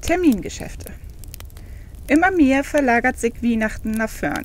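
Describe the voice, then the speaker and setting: A woman's high voice swings very widely in pitch while noticeable background noise carries on behind her. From Northern Germany.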